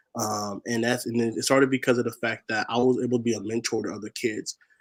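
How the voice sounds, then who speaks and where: The man's voice sits at medium pitch with flat, monotone intonation. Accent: American. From Washington state, US (SeaTac). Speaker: spoken word poet and activist. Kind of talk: interview.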